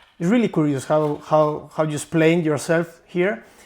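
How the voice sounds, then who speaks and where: The very clean recording, with its silent background, captures a man with a Spanish accent and a fairly high pitch. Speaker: book content creator, interviewer. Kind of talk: interview. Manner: halting.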